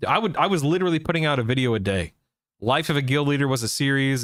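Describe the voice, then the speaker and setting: An unremarkable speaking voice moves at a fairly quick pace with ordinary pitch variation on a very clean recording with a silent background. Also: man. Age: 40s. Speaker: gaming streamer. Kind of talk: casual live stream chat.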